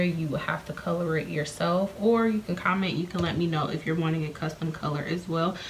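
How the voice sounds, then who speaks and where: A woman talks at a moderate pace in a fairly low pitch. Her intonation stays fairly even over noticeable background noise. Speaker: beauty vlogger and hair seller. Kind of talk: casual vlog talk to camera. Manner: rambling, jumping topics.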